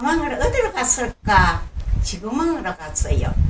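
With noticeable background noise behind her, a woman speaks in an animated tone. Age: 80s+. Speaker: storyteller. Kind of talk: children's story reading. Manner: animated, expressive.

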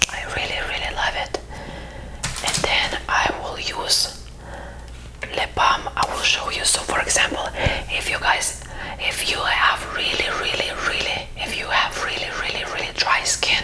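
A whisper at a fairly slow pace. Long pauses come often. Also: woman. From Lithuania. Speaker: skincare creator. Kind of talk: ASMR skincare talk to camera. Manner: soft-spoken. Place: home room. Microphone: lapel.

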